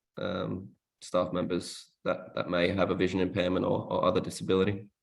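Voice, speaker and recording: This man has an Australian accent and a very deep, low pitch. He talks at a fairly quick pace with fairly even intonation. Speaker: workshop presenter. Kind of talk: workshop presentation. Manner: hesitant, many fillers.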